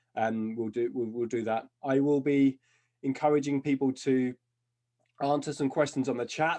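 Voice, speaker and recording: This man has a medium-pitched voice with a dark, mellow tone. His intonation stays fairly even over a quiet background. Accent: British. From UK. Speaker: job crafting consultant and author. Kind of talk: webinar presentation. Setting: video call. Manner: fast.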